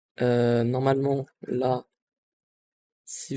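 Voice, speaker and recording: A man talks at a very slow pace in a medium pitch, his tone dark and mellow. The intonation is fairly even, and the sound is dry and close with no echo. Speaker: tech youtuber. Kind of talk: tutorial. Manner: hesitant, many fillers.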